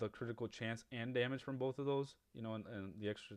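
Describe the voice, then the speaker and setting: This man talks very fast. The intonation he uses is fairly even. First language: Spanish. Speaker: gaming YouTuber. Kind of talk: gameplay tutorial. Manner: casual, many fillers and restarts.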